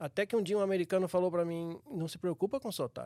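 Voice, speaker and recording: At a fairly quick pace, a high-pitched man speaks with ordinary pitch variation, in a dry, close sound with no echo on a very clean recording with a silent background. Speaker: church elder. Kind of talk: casual chat.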